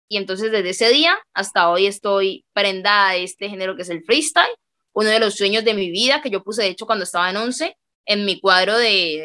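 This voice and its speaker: The tone is bright and sharp. The pace is fairly quick. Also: woman, quiet background. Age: 20s. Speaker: freestyle rapper; interviewee. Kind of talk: interview. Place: home room. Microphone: video call.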